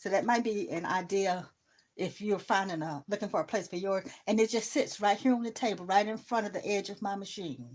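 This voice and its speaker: A woman with a plain, everyday voice speaks at a fairly quick pace in a medium pitch with ordinary pitch variation, in a very clean recording with a silent background. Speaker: sewing crafter. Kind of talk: live stream tutorial.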